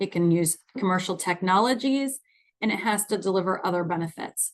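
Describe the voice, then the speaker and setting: An unremarkable speaking voice at a moderate pace with ordinary pitch variation, over a quiet background. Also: woman. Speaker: nonprofit finance executive presenting a webinar. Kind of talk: webinar presentation.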